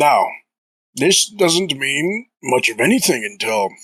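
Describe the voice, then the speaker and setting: In a put-on character voice, a man speaks at a fairly high pitch and a fairly slow pace. His pitch swings very widely. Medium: actual play. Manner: measured, musing.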